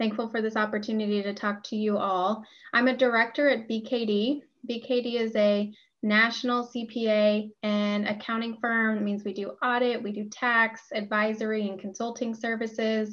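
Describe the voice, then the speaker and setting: Against a quiet background, a woman speaks at a moderate pace in a monotone, flat intonation. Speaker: panelist. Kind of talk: panel self-introduction. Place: home room. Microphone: video call.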